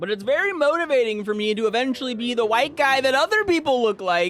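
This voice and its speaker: Mumbling at a very fast pace, a man speaks at an extremely high pitch with lively intonation over noticeable background noise. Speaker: gaming streamer. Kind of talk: casual chat.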